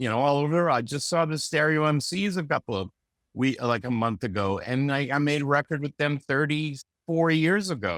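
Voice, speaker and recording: A man with an unremarkable speaking voice and a fairly high pitch uses lively intonation, recorded with a dry, close sound and no echo. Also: moderate pace. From Canada, Vancouver. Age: 60s. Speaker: music producer and engineer. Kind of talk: casual interview. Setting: video call. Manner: loose, filler-heavy speech.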